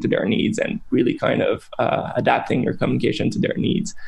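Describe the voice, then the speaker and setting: Noticeable background noise fills the recording. Through it, a man speaks very fast. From Canada. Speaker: brand strategist. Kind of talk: interview. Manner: hesitant, many fillers.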